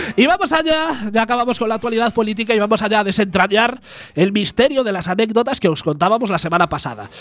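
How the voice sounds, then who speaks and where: A man's high voice, very fast, with lively intonation. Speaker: community radio comedy host. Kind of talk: casual comedic chat.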